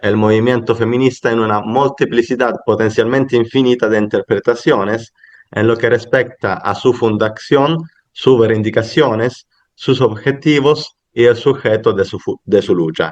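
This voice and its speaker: Speaking at a fairly slow pace, the man keeps a medium pitch and fairly even intonation. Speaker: academic conference speaker. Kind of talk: academic paper presentation. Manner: halting, with fillers and self-corrections.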